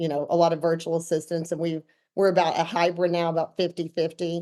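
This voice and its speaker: With an Arkansas accent, a woman speaks at a fairly low pitch in a dark, mellow tone. She keeps a fairly quick pace. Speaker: real estate team owner. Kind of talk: podcast interview.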